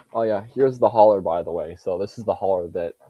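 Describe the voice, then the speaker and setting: A man speaks at a fairly quick pace. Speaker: NASCAR fan streamer. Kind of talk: casual livestream chat. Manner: halting.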